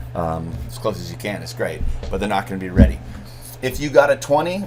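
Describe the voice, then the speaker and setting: Over noticeable background noise and audible room echo, a man talks at a very fast pace in an animated tone with lively intonation. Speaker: MBA instructor. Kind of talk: recorded lecture to students. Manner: casual, animated.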